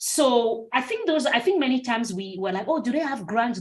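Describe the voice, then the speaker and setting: Speaking at a very fast pace, a woman uses lively intonation and sounds somewhat breathy. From Cameroon. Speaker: clinical research consultant. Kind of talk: webinar Q&A. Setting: video call webinar.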